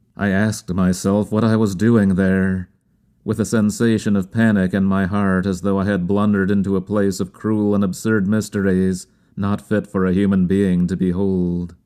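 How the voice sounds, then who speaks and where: At a fairly slow pace, a man with a fairly low pitch and a dark, mellow tone speaks in a monotone, flat intonation. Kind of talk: audiobook reading.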